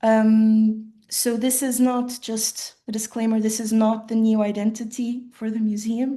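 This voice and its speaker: A woman speaks fairly slowly with hardly any pauses, in a fairly high, somewhat breathy voice with a dark, mellow tone. Her intonation is monotone and flat, and the background is quiet. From western rural Portugal, Portuguese-German family. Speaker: designer giving keynote talk. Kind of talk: conference presentation. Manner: halting, many fillers.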